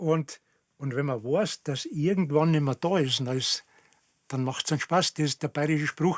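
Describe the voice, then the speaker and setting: At a fairly slow pace and with ordinary pitch variation, the voice comes through with a dry, close sound and no echo. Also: man. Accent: Bavarian. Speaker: dialect enthusiast. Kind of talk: casual chat.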